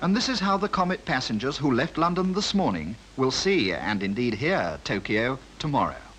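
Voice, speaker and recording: A man speaks at a moderate pace in a fairly high pitch, with very wide pitch swings. His loudness stays very even over noticeable background noise. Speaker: air correspondent reporting a newsreel. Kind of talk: 1950s newsreel narration.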